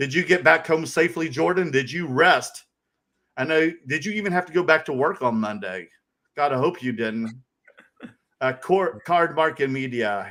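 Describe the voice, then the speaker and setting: In a very clean recording with a silent background, a man with a Southern accent speaks at a moderate pace, his tone animated, bright and sharp, his intonation lively. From US South, North Carolina. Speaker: podcast co-host. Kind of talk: casual chat.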